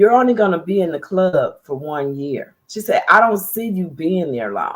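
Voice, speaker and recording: A woman with an American accent speaks at a moderate pace and a medium pitch, her tone animated and her intonation lively. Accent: slightly country. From US Midwest, Dayton Ohio. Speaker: TV and radio producer, public speaker. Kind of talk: interview conversation.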